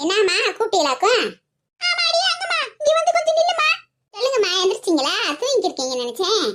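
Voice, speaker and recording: A woman performs a cartoonish character voice at an extremely high pitch and a fairly quick pace. Her pitch swings very widely. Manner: cheeky, sarcastic.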